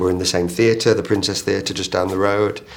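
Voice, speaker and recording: Noticeable background noise sits under a man's fairly low voice. He talks very fast with a northern English accent. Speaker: theatre director. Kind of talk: interview. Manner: halting.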